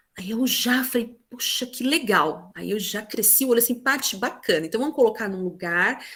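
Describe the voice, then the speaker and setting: A woman's fairly high voice with an animated tone, ordinary pitch variation and a moderate pace. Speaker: teacher. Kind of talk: presentation in online meeting.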